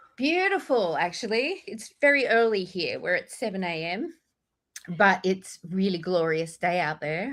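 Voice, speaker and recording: Speaking in an Australian accent, a woman at a medium pitch talks at a fairly slow pace with lively intonation. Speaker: author. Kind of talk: podcast interview.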